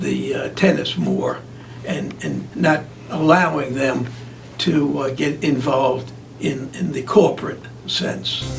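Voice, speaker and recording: Noticeable noise fills the background. Over it, a man talks with an American accent. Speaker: longtime announcer and public relations man. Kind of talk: interview answer.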